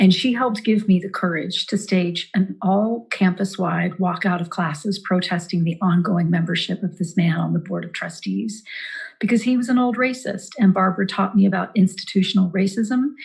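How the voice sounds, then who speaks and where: A woman with a somewhat breathy voice talks at a moderate pace, her medium pitch showing ordinary variation. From Eastern Kentucky. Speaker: actress and campaign surrogate. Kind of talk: campaign speech.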